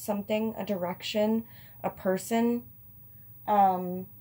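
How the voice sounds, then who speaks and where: A woman talks at a fairly slow pace in a medium pitch. Her voice is somewhat breathy, with fairly even intonation. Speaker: tarot reader. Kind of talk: tarot reading to camera. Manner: slurring; casual, hesitant with fillers.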